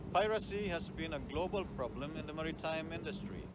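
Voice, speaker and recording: A man speaks at a moderate pace with ordinary pitch variation. The sound is dry with no echo, over loud background noise. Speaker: vlogger. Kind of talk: casual vlog chat. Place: boat. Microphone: phone near.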